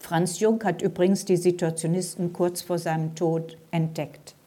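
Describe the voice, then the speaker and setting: A woman speaks at a fairly slow pace in a fairly low, dark, mellow voice. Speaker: author. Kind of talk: book reading; talk.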